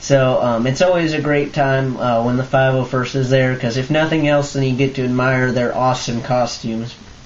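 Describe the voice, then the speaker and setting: Noticeable background noise runs through the clip. The speaking pace is moderate. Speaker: fan video blogger. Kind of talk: casual vlog recap. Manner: hesitant, many fillers.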